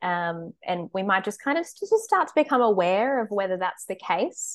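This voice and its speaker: With an Australian accent and lively intonation, a woman speaks at a medium pitch against a quiet background. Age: 20s. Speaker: dietitian. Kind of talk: casual interview chat. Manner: hesitant, many fillers.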